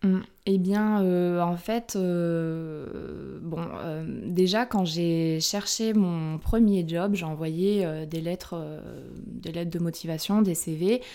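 The voice is a woman's, dark and mellow in tone. It holds fairly even intonation. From France, Corrèze (Brive-la-Gaillarde). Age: 30s. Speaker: illustrator. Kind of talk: casual interview. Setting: home studio.

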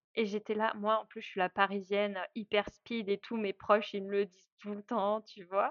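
The speech comes at a fairly slow pace, with a dry, close sound that has no echo. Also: woman. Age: 30s. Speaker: traveler and travel organizer. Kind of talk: casual interview.

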